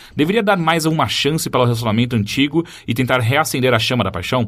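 At a very fast pace, a man of medium pitch speaks with lively intonation. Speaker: podcast host. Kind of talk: casual chat.

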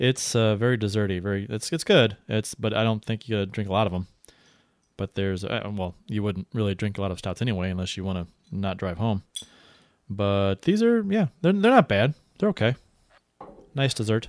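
A man with an American accent and a fairly low pitch, at a fairly quick pace with long, frequent pauses and ordinary pitch variation, in a dry, close sound with no echo against a quiet background. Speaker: podcast host. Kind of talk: radio-style live post-game show, sports talk. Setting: live broadcast, studio. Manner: energetic, upbeat broadcaster patter, then venting and irritated.

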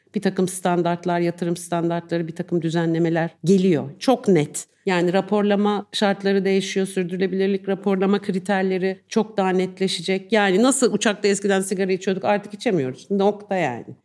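A woman with an unremarkable speaking voice and a medium pitch talks at a moderate pace. Her intonation stays fairly even, with hardly any pauses. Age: 50s. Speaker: journalist. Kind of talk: live podcast interview. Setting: live recording with audience.

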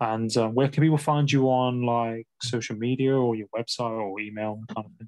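A man with a medium-pitched voice speaks in a normal speaking voice at a moderate pace, with fairly even intonation, hardly any pauses and big swings in loudness. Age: 20s. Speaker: podcast host. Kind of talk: casual interview chat.

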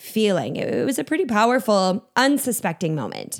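With an American accent and a normal speaking voice, a woman speaks at a medium pitch with lively intonation on a very clean recording with a silent background. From Minnesota. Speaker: storytelling consultant and keynote speaker. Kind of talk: interview.

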